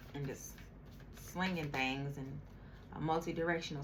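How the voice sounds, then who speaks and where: Audible room echo surrounds the woman as she speaks. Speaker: tarot reader. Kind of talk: tarot reading. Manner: slow.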